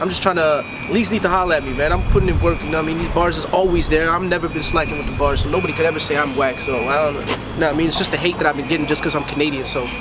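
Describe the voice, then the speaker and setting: A man with a fairly high voice and fairly even intonation, at a very fast pace with hardly any pauses, amid audible room echo and noticeable background noise. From Toronto, Canada (Rexdale, west end). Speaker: battle rapper. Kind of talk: casual interview. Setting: at a live event venue.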